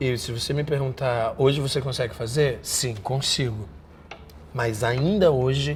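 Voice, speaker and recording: A man with a Rio de Janeiro accent at a medium pitch, fairly slow pace and ordinary pitch variation, amid noticeable background noise and audible room echo. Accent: Rio de Janeiro (carioca). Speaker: actor. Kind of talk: interview. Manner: repetitive, halting.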